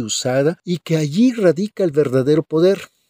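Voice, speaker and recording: A man with an unremarkable speaking voice, fairly slow, with ordinary pitch variation and a dry, close sound with no echo. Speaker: pastor. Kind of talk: sermon.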